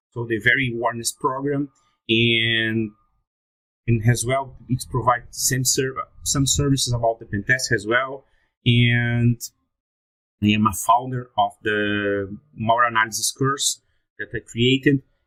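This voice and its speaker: A man with a Brazilian Portuguese accent, bright and sharp in tone, flat and monotone, at a fairly slow pace with long, frequent pauses, in a dry, close sound with no echo. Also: medium pitch for a man. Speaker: security researcher. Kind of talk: conference talk. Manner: halting.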